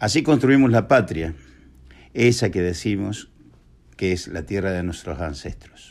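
A man speaks at a fairly slow pace in a fairly low pitch, with lively intonation and long, frequent pauses. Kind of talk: recorded testimony.

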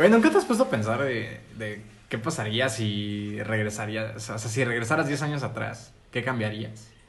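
Over noticeable background noise and audible room echo, a man at a medium pitch speaks at a moderate pace. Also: fairly even intonation. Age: 20s. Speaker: podcast co-host. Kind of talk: casual chat.

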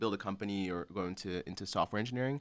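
A man with an American accent talks very fast with ordinary pitch variation, on a very clean recording with a silent background. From Chicago, north side. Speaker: tech entrepreneur. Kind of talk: interview conversation. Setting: in-person studio. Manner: halting.

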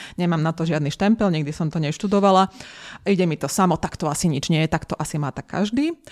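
Recorded with a dry, close sound and no echo, a woman talks at a very fast pace, her pitch fairly low with ordinary variation. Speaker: coach and lecturer. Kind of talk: interview conversation. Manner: enthusiastic, energetic.

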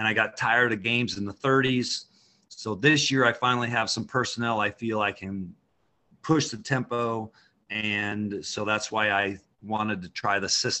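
An unremarkable speaking voice with an American accent, moderate pace and fairly even intonation. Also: man, medium pitch for a man. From Idaho. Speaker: high school basketball coach. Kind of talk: casual interview.

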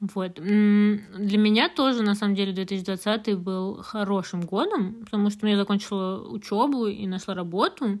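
An unremarkable speaking voice from a woman, medium in pitch, fairly slow, with fairly even intonation. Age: 20s. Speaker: podcast co-host. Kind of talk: casual chat.

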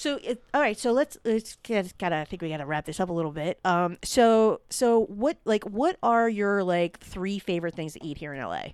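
With a plain, everyday voice and an American accent, a woman of medium pitch talks at a moderate pace with lively intonation and hardly any pauses, in a very clean, dry, close recording with a silent background and no echo. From Philadelphia, US. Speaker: podcast host. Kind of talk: casual chat. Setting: guest's home studio.

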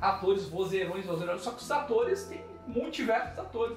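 A man with a southern Brazilian accent speaks at a fairly slow pace in a high pitch. Music plays in the background, and there is audible room echo. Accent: gaúcho Brazilian Portuguese. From southern Brazil, Pelotas. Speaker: actor and voice actor. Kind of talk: podcast interview.

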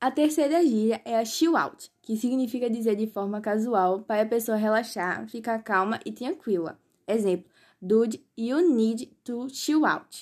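In a plain, everyday voice, a woman speaks fairly slowly at a fairly high pitch with ordinary pitch variation, on a very clean recording with a silent background. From Pernambuco, Brazil. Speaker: podcast host teaching English slang. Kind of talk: scripted tutorial.

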